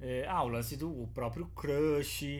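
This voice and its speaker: There is audible room echo in this clip. The speaker is a man. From São Paulo, Brazil. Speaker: podcast host. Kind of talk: casual chat. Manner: animated, slangy.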